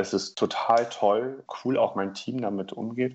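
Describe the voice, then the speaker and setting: Delivered at a fairly slow pace, this is a normal speaking voice. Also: man. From northern Germany, Oldenburg. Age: 20s. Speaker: corporate team leader. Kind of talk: interview.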